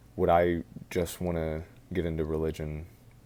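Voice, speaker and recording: Soft-spoken and dark, mellow in tone, a man talks in a very deep, low pitch with monotone, flat intonation. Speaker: college student. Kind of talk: casual talk to camera.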